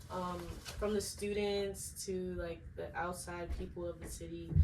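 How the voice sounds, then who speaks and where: A woman speaks in an American accent. Audible room echo surrounds her voice. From Maryland, US (Upper Marlboro, Prince George's County). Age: 20s. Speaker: hairstylist and business owner. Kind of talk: casual interview. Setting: dorm room.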